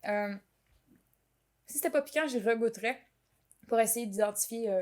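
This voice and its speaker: Speaking with a Quebec accent, a woman keeps a moderate pace at a fairly high pitch, with ordinary pitch variation and big swings in loudness. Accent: Québécois French. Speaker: podcast host. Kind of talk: casual chat. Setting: home kitchen.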